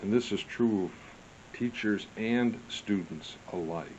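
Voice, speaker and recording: This man talks at a fairly slow pace in a fairly low pitch. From US Midwest, St. Louis. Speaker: history vlogger. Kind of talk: casual monologue.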